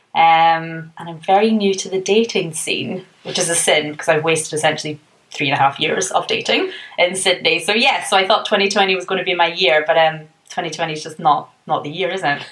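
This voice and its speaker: This woman speaks with a Scottish accent. Her pitch is fairly low. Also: fairly even intonation, fairly quick pace. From Scotland. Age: 20s. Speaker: podcast guest. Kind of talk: casual chat.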